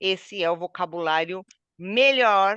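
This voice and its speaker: Dry and close with no echo, a woman's medium-pitched voice has a bright, sharp tone and lively intonation. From southeastern Brazil. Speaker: Portuguese teacher. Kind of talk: online language lesson.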